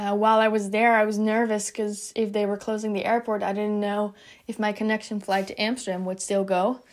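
On a very clean recording with a silent background, a woman with a Dutch accent talks at a fairly quick pace, her medium-pitched voice monotone and flat in intonation. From Netherlands. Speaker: college student athlete. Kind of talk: personal testimony.

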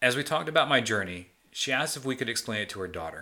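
Lively intonation marks a man's very fast speech. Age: 40s. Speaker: podcast host, weight loss surgery patient.

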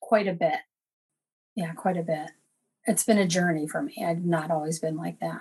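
Somewhat breathy, a woman talks at a moderate pace with ordinary pitch variation and long, frequent pauses. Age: 50s. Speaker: caller. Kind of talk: personal conversation. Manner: halting, many fillers.

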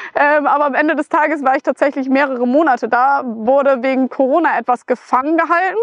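A woman with a high voice and a northern German accent uses ordinary pitch variation, recorded dry and close with no echo. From northern Germany, Flensburg area. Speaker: motorcycle traveller and author. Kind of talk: casual chat.

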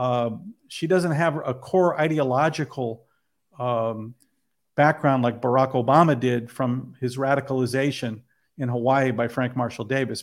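At a moderate pace, a man talks in an ordinary speaking voice at medium pitch with fairly even intonation, recorded very cleanly against a silent background. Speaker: filmmaker. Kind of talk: interview about his film.

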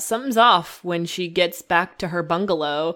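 A woman speaks with a plain, everyday voice at a fairly low pitch and a fairly slow pace. Her pitch varies in an ordinary way. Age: 20s. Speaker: podcast co-host. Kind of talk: casual chat. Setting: Skype call.

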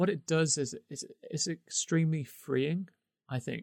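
A man in an English accent speaks at a fairly slow pace with ordinary pitch variation. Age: 30s. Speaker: podcast co-host. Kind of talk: casual chat.

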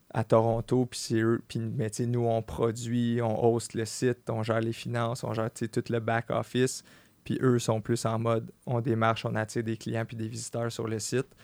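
With a Quebec accent, a man speaks at a fairly slow pace in a medium pitch with monotone, flat intonation, in a dry, close sound with no echo on a very clean recording with a silent background. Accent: Québécois French. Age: 30s. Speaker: clothing entrepreneur. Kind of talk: casual chat.

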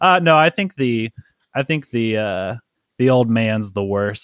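An unremarkable speaking voice from a man at a moderate pace, with ordinary pitch variation, on a very clean, dry, close recording with no echo and a silent background. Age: 20s. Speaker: podcast host and comic book writer. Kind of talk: casual chat.

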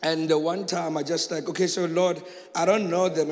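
In a room with audible echo and noticeable background noise, a man with a high pitch talks at a moderate pace. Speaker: pastor. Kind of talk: testimony. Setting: church.

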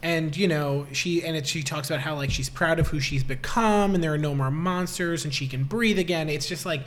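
Audible room echo surrounds a man whose fairly high voice, with ordinary pitch variation, moves at a fairly quick pace. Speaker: podcast co-host. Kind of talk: casual chat.

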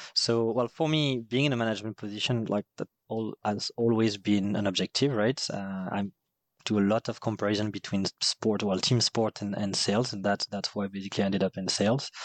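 Fairly low-pitched man with a French accent, fairly quick in pace, fairly even in intonation, recorded dry and close with no echo against a quiet background. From southern France, Marseille area. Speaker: head of sales. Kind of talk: casual interview.

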